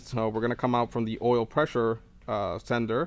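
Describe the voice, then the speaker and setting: A man talks at a moderate pace in a medium pitch with flat, monotone intonation, on a very clean recording with a silent background. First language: not English. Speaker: car tuning YouTuber. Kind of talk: tutorial. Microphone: wireless mic broken, different audio.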